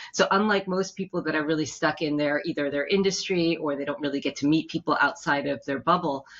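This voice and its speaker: A woman with a New York accent, her pitch very deep and low, at a very fast pace with hardly any pauses. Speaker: matchmaker and business consultant. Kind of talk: interview. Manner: animated.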